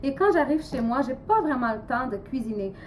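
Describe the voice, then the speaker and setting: With lively intonation, a woman speaks at a moderate pace and a high pitch amid audible room echo. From Portugal. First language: Portuguese (speaking French). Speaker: amateur cooking vlogger. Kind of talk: cooking tutorial. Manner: halting, many hesitations.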